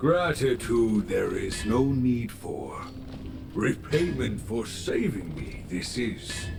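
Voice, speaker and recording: A man's put-on character voice at a very slow pace, over loud background noise. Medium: game stream. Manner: inverted word order, measured, deliberate.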